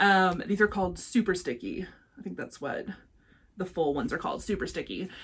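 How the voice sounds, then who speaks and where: With vocal fry and lively intonation, a woman at a medium pitch speaks at a fairly quick pace in an animated tone. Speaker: crafting vlogger. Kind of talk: casual vlog chat. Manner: fast.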